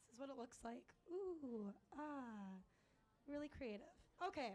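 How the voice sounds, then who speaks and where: Loud and high-pitched, a woman speaks at a fairly slow pace with lively intonation. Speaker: open mic performer. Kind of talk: stand-up. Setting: stage with audience. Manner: halting.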